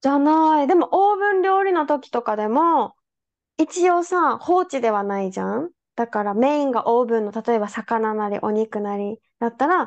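At a moderate pace, a woman talks in a high pitch that makes very wide swings. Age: 30s. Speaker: podcast host. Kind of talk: casual chat. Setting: video call.

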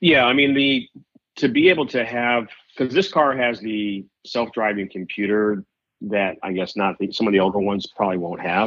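A plain, everyday voice from a man, fairly low in pitch, with ordinary pitch variation at a moderate pace. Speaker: car dealership general manager. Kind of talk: casual chat. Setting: phone call.

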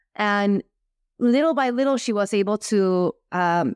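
A woman with an American accent has an ordinary speaking voice, medium pitch and lively intonation at a moderate pace. The sound is dry and close with no echo, on a very clean recording with a silent background. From US, Cuban diaspora. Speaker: YouTuber and influencer. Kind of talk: casual interview.

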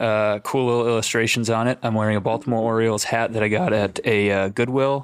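At a fairly quick pace, a man with a medium pitch and fairly even intonation speaks in a normal speaking voice. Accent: American. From Minnesota. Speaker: college baseball coach. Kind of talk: casual chat.

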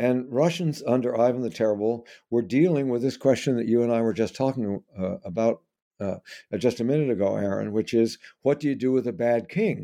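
Over a quiet background, a man talks in a dark, mellow, medium-pitched voice with ordinary pitch variation. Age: 80s+. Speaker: historian and author. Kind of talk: interview. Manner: halting.

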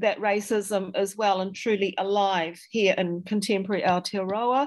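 In a New Zealand accent, a woman speaks at a very slow pace. The recording is very clean, with a silent background. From New Zealand, Dunedin. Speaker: historian and author. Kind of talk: interview. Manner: halting.

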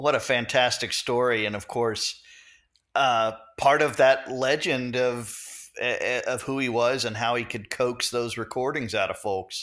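This man speaks in an ordinary speaking voice at a medium pitch. His pace is fairly slow and his intonation fairly even. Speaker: podcast host. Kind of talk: interview.

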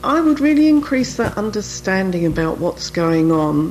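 In a British accent, a woman speaks at a medium pitch and a moderate pace, with very wide pitch swings over noticeable background noise. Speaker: author and menopause expert. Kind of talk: radio interview.

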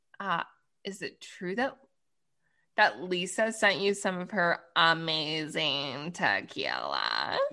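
A woman with an American accent speaks very slowly with long, frequent pauses, her fairly low voice bright and sharp, with vocal fry and ordinary pitch variation. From Washington DC area. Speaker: podcast co-host. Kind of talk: casual chat.

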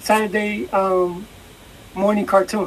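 Noticeable background noise runs under a woman who talks at a fairly slow pace. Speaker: podcast co-host. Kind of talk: casual chat. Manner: blunt, reactive, casual.

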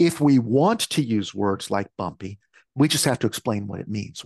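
Recorded with a dry, close sound and no echo, a man with an American accent speaks in an ordinary speaking voice at medium pitch with ordinary pitch variation. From US Midwest, Michigan. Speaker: speech-language pathologist and researcher. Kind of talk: interview answers.

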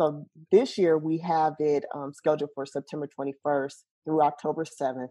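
Speaking at a moderate pace with an American accent, a woman with a very deep, low pitch and a dark, mellow tone keeps her intonation fairly even against a quiet background. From US Midwest (Champaign, Illinois). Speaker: nonprofit founder. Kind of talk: interview.

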